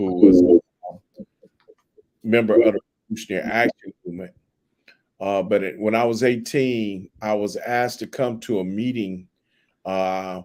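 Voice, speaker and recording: The voice has a dark, mellow tone and ordinary pitch variation, moving at a moderate pace with long, frequent pauses in a dry, close sound with no echo. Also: man, fairly low pitch for a man. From US West Coast, Compton, Los Angeles. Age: 60s. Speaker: professor and activist. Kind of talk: interview.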